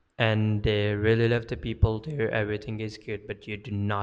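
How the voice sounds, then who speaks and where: In a fairly low voice, a man speaks at a moderate pace with monotone, flat intonation. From Pakistan. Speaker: sales and marketing content creator. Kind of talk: personal story monologue. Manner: hesitant with fillers.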